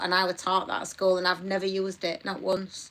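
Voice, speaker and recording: A woman speaks with a Yorkshire accent at a medium pitch. Her tone is bright and sharp. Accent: Yorkshire accent, like a Barnsley woman's. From northern England, Batley, Yorkshire. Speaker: live stream co-host. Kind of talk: casual chat. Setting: live stream.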